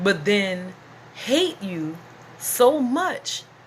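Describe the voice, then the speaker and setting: Noticeable background noise sits behind a woman speaking at a medium pitch in an animated tone. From US South. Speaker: YouTuber and business owner. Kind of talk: casual vlog monologue.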